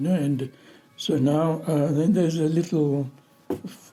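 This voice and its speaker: With music in the background, a man speaks at a very slow pace in a fairly high pitch. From Zanzibar. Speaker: scholar. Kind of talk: oral history interview. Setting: interview. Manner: halting.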